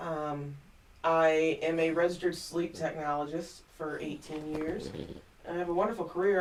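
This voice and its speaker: The speech moves at a moderate pace with fairly even intonation. Noticeable background noise and audible room echo are present. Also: woman. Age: 40s. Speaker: vlogger. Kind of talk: personal vlog monologue. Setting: home studio. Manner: hesitant, many fillers.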